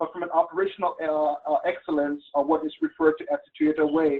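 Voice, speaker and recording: The speaker has a Liberian accent. The words come at a very fast pace. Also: man. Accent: Liberian accent, noticeable. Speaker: webinar presenter, business mentor. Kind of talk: webinar presentation. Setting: online webinar.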